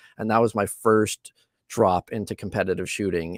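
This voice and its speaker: On a very clean recording with a silent background and a dry, close sound with no echo, a man with fairly low pitch speaks at a moderate pace with fairly even intonation. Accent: Canadian. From Canadian prairies. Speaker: small business owner, machinist. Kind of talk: live interview. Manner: halting, many fillers.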